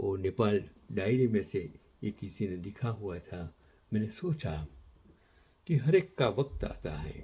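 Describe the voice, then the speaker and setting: A man speaks with a dark, mellow, somewhat breathy voice at a fairly low pitch. His intonation is lively, and he takes long, frequent pauses. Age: 80s+. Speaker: commentator on history and current affairs. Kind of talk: moral talk to camera; reading aloud.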